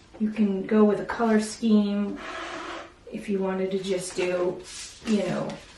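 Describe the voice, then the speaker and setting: Amid audible room echo and noticeable background noise, a woman speaks at a fairly slow pace with a medium pitch and monotone, flat intonation. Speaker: art teacher. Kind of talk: tutorial.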